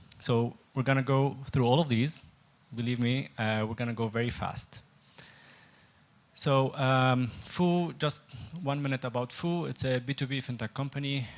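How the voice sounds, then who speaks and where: A man at a medium pitch and moderate pace, fairly even in intonation, with long, frequent pauses. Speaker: fintech product head. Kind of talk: presentation.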